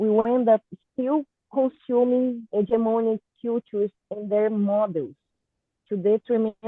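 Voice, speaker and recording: With a Portuguese accent, a woman talks at a fairly high pitch with ordinary pitch variation. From Brazil, Goiás. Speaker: artist and cultural producer. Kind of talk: prepared talk read aloud. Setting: online video call. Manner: halting.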